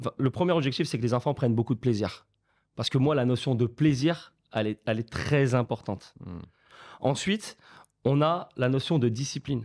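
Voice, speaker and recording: A man talks at a moderate pace against a quiet background, his pitch varying in an ordinary way. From France, of Portuguese descent. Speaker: football academy founder; guest. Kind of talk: casual chat. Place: studio. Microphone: studio mic.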